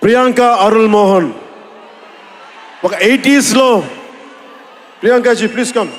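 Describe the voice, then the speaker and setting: A man's extremely high-pitched voice carries fairly even intonation amid noticeable background noise. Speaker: actor and politician. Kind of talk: speech at a film event.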